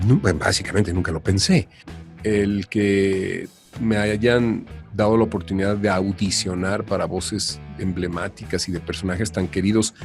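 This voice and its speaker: Music plays in the background as a man speaks slowly-ish, at a fairly slow pace, with a fairly low pitch and fairly even intonation. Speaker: dubbing actor and voice-over artist; advertising professional with recording studies. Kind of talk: podcast interview answer.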